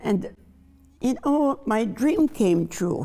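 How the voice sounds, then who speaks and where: Very slowly, a woman speaks in a dark, mellow tone marked by vocal fry. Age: 80s+. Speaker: chef. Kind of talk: panel discussion.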